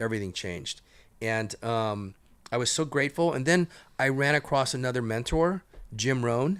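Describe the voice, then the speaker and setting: A normal speaking voice from a man, medium in pitch with lively intonation at a moderate pace, on a very clean recording with a silent background. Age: 60s. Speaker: entrepreneur. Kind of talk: podcast interview.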